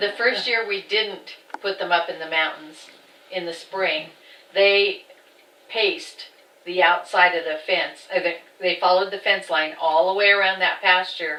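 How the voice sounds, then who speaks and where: In a normal speaking voice, a woman with an American accent talks fairly slowly at a medium pitch, her intonation fairly even. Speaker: farm family member. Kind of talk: oral history interview.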